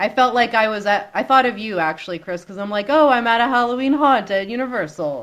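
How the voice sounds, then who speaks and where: A woman's fairly high voice with lively intonation at a very fast pace. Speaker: podcast co-host. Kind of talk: casual chat.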